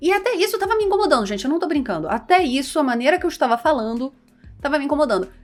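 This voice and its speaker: With music in the background, a woman in a Carioca accent talks very fast at a high pitch with very wide pitch swings. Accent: carioca with hushed S. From Rio de Janeiro, Brazil.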